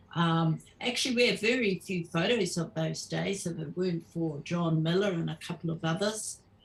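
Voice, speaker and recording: This speaker's voice is somewhat breathy and moves at a moderate pace. Pitch varies in an ordinary way. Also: woman, fairly low pitch for a woman. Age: 70s. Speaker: Māori activist veteran. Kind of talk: casual chat. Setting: live stream.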